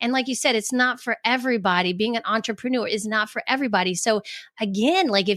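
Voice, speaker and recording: The recording is very clean, with a silent background. The speech comes very fast with ordinary pitch variation. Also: woman, fairly high pitch for a woman. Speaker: life coach and author. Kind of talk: podcast interview. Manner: halting, many restarts.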